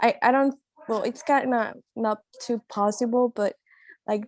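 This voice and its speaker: Recorded very clean with a silent background and a dry, close sound with no echo, a woman speaks at a moderate pace in a Spanish accent. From Colombia. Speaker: international student. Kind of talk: panel discussion. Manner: shy.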